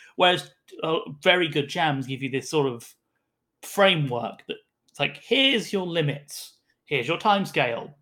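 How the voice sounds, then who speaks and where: A man with a British accent speaks at a fairly high pitch and a moderate pace, his intonation lively. The tone is bright and sharp, in a very clean recording with a silent background. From UK. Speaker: tabletop game designer. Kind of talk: casual chat.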